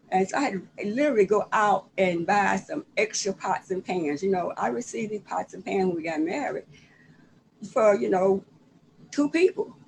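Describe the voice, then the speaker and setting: With vocal fry and lively intonation, a woman speaks at a medium pitch in a Southern US accent. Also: moderate pace. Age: 70s. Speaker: author. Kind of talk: casual chat. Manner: halting.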